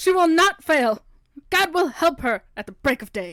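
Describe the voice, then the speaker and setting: The put-on character voice moves along at a moderate pace. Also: woman, extremely high pitch for a woman. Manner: preachy, fervent.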